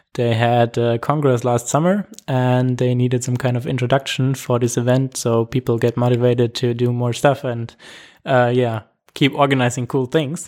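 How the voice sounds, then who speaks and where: A man talks at medium pitch with a German accent. His intonation is fairly even and his pace moderate. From Germany. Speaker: camera crew member, initiative founder. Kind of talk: interview. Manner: hesitant, with fillers.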